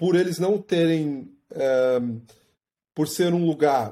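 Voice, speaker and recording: A man speaks very slowly in a fairly high pitch. His tone is dark and mellow. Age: 40s. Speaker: running coach and athlete. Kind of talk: interview.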